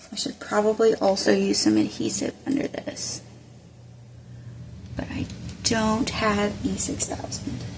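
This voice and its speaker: Noticeable background noise sits behind a woman's voice. She talks at a fairly slow pace with long, frequent pauses. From US South. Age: 20s. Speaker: crafter. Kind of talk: crafting tutorial. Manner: casual thinking aloud.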